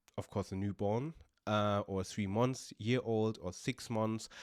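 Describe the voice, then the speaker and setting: In a dry, close sound with no echo, a man with a German accent speaks at a fairly low pitch, very slowly, with fairly even intonation. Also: very clean recording, silent background. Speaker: podcaster. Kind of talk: personal vlog monologue. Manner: halting, many fillers.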